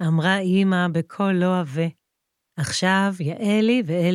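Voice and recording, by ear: Someone reads aloud in a natural voice. The intonation stays fairly even against a quiet background.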